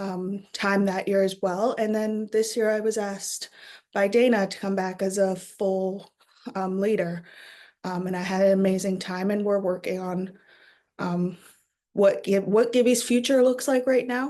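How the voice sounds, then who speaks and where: Dark, mellow in tone, the voice moves at a fairly slow pace with fairly even intonation. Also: woman, medium pitch for a woman. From Canada, northwestern Ontario (Thunder Bay). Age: young. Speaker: university student and youth program facilitator. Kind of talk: personal testimony. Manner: hesitant, many filler words.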